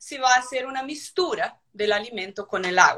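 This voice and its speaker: Bright, sharp tone with a Brazilian accent. The intonation is lively. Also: woman. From Brazil, São Paulo. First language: Portuguese (speaking Spanish). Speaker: livestock feeding equipment company representative. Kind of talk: live webinar interview. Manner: halting, repeats words.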